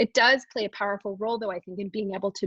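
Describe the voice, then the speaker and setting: A somewhat breathy woman's voice at a medium pitch, with ordinary pitch variation and a dry, close sound with no echo. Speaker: psychology researcher presenting study findings. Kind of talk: webinar lecture presentation. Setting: online webinar. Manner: fast.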